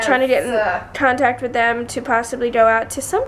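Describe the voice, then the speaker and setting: A woman with a high pitch speaks at a moderate pace against noticeable background noise. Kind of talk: casual, conversational.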